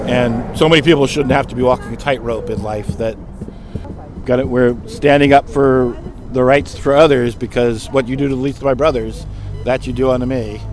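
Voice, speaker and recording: A man's medium-pitched voice at a fairly quick pace, with music in the background. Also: fairly even intonation. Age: 60s. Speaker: protester. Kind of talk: street interview. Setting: outdoors.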